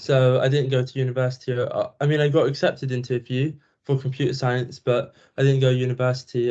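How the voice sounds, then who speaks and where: A man with a British accent speaks at a fairly quick pace in a medium pitch, his tone dark and mellow. His voice is somewhat breathy, with monotone, flat intonation. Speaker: student. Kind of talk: self-introduction in online class. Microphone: laptop microphone, own mic broken.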